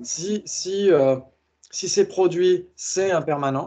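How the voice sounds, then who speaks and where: The background stays quiet. A man talks, his intonation fairly even. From France, Blois area. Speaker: teacher of Buddhist logic. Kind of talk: online lecture with group discussion. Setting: video call with screen share. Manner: says he articulates poorly; hesitant, frequent fillers.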